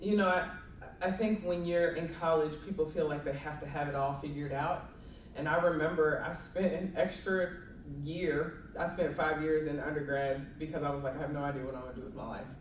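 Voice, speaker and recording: A woman with a slight Southern accent and a very deep, low pitch speaks with fairly even intonation amid noticeable background noise and audible room echo. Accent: slight southern drawl. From Kentucky, Louisville. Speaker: college sports administrator. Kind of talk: interview.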